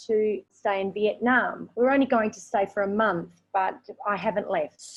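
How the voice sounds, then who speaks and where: Speaking fairly slowly, a woman talks in an Australian accent. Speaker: raw vegan and English teacher. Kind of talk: interview.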